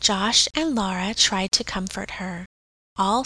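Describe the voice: Over a quiet background, someone does plain reading aloud with ordinary pitch variation.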